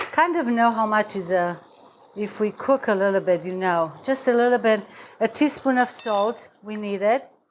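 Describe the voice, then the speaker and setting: A woman with a Romanian accent talks at a moderate pace over noticeable background noise. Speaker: cooking show host. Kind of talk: cooking tutorial.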